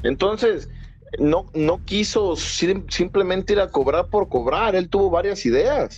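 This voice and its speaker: The man's high-pitched voice holds a very even loudness throughout. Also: ordinary pitch variation, fairly slow pace. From Mexico. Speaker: podcast co-host. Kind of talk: casual chat.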